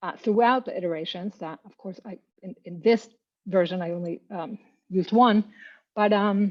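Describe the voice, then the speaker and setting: A woman with a Spanish accent speaks at a medium pitch and a moderate pace. Her intonation stays fairly even while her loudness swings widely. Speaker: poet-translator. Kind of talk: panel discussion. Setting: video call.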